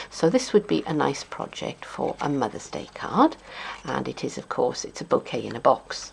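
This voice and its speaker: At a moderate pace, a woman talks with a South Welsh accent. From South Wales. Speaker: papercrafting demonstrator. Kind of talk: tutorial.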